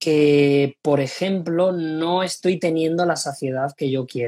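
Very slow male speech with ordinary pitch variation. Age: 20s. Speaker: sports nutritionist. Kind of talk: interview.

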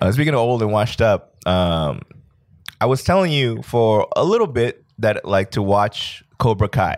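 With a plain, everyday voice, a man at medium pitch speaks at a moderate pace, his intonation lively and his loudness very even. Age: late 30s. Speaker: podcast co-host. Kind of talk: casual chat.

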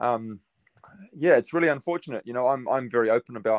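Here a man talks with a New Zealand accent. The sound is dry and close, with no echo. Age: 30s. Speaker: custom painter and pinstriper. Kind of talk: casual interview. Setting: remote call.

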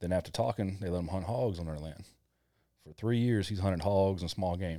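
With a Kentucky accent, a man talks at a fairly quick pace in a very deep, low pitch with a dark, mellow tone. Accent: Southern US (Kentucky). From Kentucky, US South. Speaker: army veteran and hunter. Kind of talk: casual chat.

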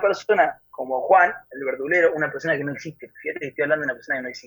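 A man talking at a very fast pace. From Argentina, central Buenos Aires province. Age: 20s. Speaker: singer-songwriter and guitarist. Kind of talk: interview.

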